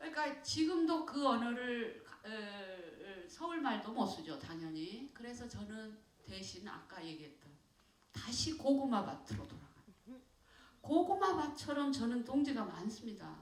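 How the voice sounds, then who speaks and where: In a Jeolla accent, the voice makes very wide pitch swings and big swings in loudness. Audible room echo surrounds it. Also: woman, high pitch for a woman. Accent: Jeolla dialect, retained. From South Korea, Jeolla (Sinan, Mokpo). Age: 60s. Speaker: poet. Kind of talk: audience talk with Q&A. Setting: stage with audience. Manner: halting, many fillers.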